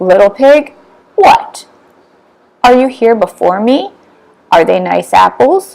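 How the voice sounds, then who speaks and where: Putting on a character voice, a woman speaks fairly high and fairly slowly, with long, frequent pauses. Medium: read story.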